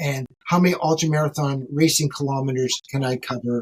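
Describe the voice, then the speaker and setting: A man with a Canadian accent, a plain, everyday voice, fairly high pitch, ordinary pitch variation and a fairly quick pace. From Canada, Ontario. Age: 60s. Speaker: ultramarathon runner. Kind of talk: podcast interview.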